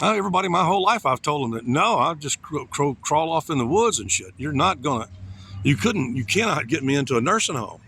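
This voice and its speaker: A man's fairly high voice in an American accent, very fast and with very wide pitch swings, amid noticeable background noise. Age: 60s. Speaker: vlogger. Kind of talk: casual monologue. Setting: outdoors.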